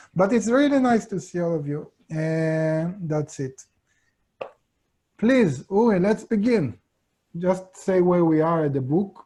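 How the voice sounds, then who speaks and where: Someone with an Israeli accent speaks at a very slow pace with long, frequent pauses. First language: Hebrew. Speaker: course teacher. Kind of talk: online lecture. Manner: halting.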